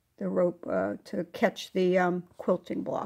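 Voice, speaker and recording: Vocal fry colors this speech, which moves at a fairly slow pace. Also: woman. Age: 70s. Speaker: fiber art crafter. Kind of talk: tutorial. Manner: casual, chatty.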